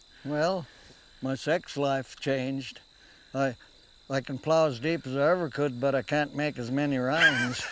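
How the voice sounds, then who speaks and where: The speech moves at a fairly slow pace, with long, frequent pauses. Noticeable background noise runs underneath. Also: man, fairly high pitch for a man, fairly even intonation. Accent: rural western American. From US Rocky Mountain West. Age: 80s+. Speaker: trapper. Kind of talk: casual chat. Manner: halting.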